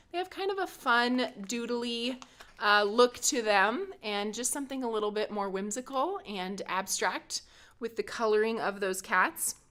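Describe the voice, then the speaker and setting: A woman's high-pitched voice with very wide pitch swings at a fairly slow pace. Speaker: card-making instructor. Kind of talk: product demonstration tutorial.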